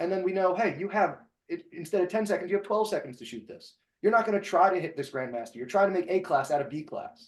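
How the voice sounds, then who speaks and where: In a New Jersey accent, a man talks at a very fast pace and a high pitch, with lively intonation and big swings in loudness. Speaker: podcast host and shooting instructor. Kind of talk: casual podcast discussion.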